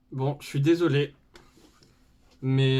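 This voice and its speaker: In a very clean recording with a silent background, a man talks with a southern French accent. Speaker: makeup YouTuber. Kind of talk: makeup tutorial. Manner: casual, filler-heavy.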